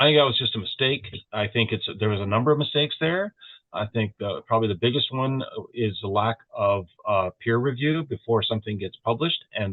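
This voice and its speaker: A man's normal speaking voice, medium in pitch, at a fairly quick pace with ordinary pitch variation. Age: 60s. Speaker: podcast co-host. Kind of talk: casual chat.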